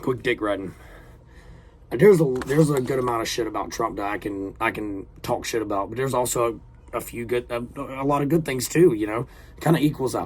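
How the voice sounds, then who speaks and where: In a Southern accent, a man talks at a fairly quick pace with medium pitch and ordinary pitch variation. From US South. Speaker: reaction video creator. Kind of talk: casual reaction commentary. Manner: casual, halting with fillers; animated.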